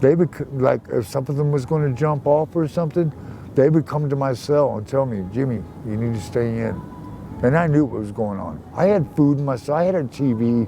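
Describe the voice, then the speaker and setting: There is noticeable background noise as a man talks at a fairly quick pace. His pitch is medium with ordinary variation. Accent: American. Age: 60s. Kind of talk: casual interview. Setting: outdoors.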